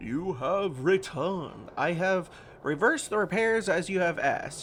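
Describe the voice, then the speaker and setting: A man's high-pitched put-on character voice at a moderate pace, with clear background noise. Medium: game stream. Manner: soft, murmuring.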